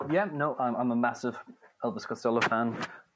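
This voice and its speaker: The speaker is a man in an Irish accent. He moves along at a fairly quick pace. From Ireland. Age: 20s. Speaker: music journalist and author. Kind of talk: interview. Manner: halting, with frequent repetitions.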